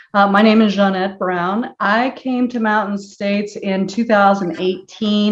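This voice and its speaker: A woman speaks at a moderate pace with a Midwestern US accent. Her intonation stays fairly even. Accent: US Midwest. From Nebraska. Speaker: lawyer. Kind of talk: panel discussion.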